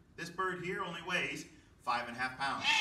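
A high-pitched male voice with lively intonation, audible room echo and light background noise. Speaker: wildlife educator. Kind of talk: educational presentation. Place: hall. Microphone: camera far.

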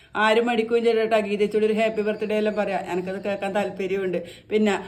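Audible room echo surrounds a woman talking at a fairly high pitch. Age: 40s. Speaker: homemaker vlogger. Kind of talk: casual vlog monologue.

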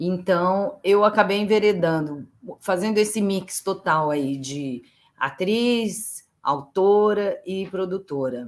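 Her delivery is very slow. The woman's intonation rises and falls in a lively way. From São José do Rio Preto, interior of São Paulo state, Brazil; São Paulo, Brazil. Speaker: playwright and actress; actress. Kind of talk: interview. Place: home room.

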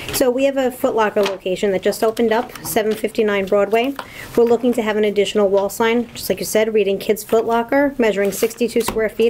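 Light background noise sits under a fairly quick delivery with monotone, flat intonation. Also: woman. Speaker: permit consultant. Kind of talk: public hearing presentation. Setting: town hall meeting room. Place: meeting room. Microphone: podium.

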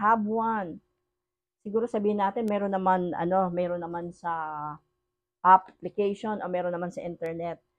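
A woman speaks at a moderate pace, with ordinary pitch variation. The background is quiet. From Philippines. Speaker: online preacher. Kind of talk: sermon. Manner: switches between Tagalog and English. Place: home room. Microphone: phone near.

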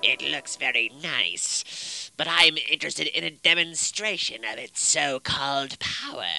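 A man speaks at a fairly high pitch. His pace is moderate. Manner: impatient, skeptical.

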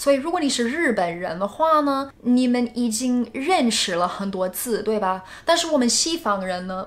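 A woman talks at a high pitch with very wide pitch swings. Her pace is moderate, with hardly any pauses. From United States. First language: English (speaking Chinese). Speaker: YouTuber. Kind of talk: vlog. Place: home room.

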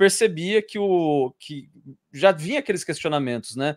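Lively intonation at a fairly slow pace, in a dry sound with no echo and a quiet background. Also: man. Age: 30s. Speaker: YouTuber and civil servant; interview guest. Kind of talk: interview. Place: home room. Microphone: video call.

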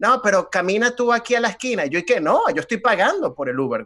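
The background stays quiet. A man speaks fairly quickly, his intonation lively. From Venezuela. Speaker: comedian. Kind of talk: casual chat. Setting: video call.

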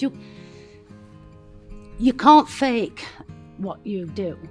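Faint music plays in the background as the voice moves at a fairly slow pace with lively intonation. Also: woman. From Sheffield, England. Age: 60s. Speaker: bereaved sister and former carer. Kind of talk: emotional personal tribute. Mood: emotional, heartfelt tribute. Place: garden. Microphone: lapel.

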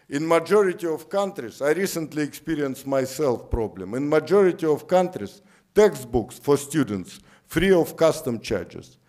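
A man with a Russian accent speaks fairly slowly at a fairly high pitch, with lively intonation. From Siberia, Russia. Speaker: economist. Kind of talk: lecture. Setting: lecture theatre with audience.

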